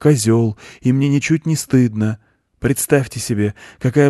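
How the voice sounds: A natural reading voice with ordinary pitch variation is heard against a quiet background.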